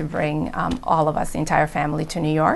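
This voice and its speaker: Speaking at a fairly quick pace, a woman talks with vocal fry. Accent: Spanish. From Providence, Rhode Island (born Dominican Republic). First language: Spanish. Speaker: engineer in technology transfer. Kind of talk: interview testimony.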